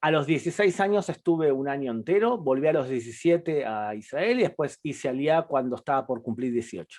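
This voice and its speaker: At a fairly quick pace with hardly any pauses, a man talks with lively intonation at a fairly high pitch. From Argentina. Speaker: public diplomacy program director. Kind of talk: interview.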